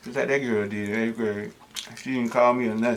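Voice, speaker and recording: The speaker is a man with a medium pitch and ordinary pitch variation. Noticeable background noise runs underneath. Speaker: mukbang host. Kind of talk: casual talk to camera.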